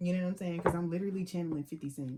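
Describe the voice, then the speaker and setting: A woman speaks with a fairly low pitch and an animated tone. Her voice is somewhat breathy. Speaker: psychic tarot reader. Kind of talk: tarot reading. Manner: fast.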